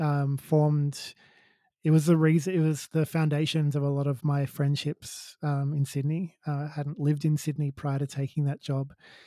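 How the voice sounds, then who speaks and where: Fairly high in pitch, a man with an Australian accent speaks at a moderate pace in a dark, mellow tone and a monotone, flat intonation, the sound dry and close with no echo on a very clean recording with a silent background. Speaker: co-founder of a non-alcoholic beer company. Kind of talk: casual chat.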